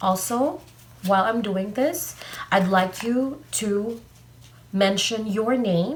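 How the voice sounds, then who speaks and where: Over audible room echo, a woman speaks at a very slow pace in a somewhat breathy voice. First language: not English. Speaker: tarot card reader. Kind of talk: tarot reading video monologue. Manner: halting, many fillers.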